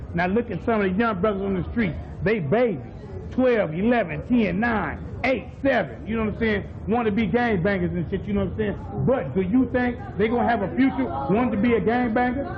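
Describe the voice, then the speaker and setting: An animated man with a high pitch and ordinary pitch variation, at a fairly quick pace, with noticeable background noise and audible room echo. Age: 30s. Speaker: gang member. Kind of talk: documentary interview.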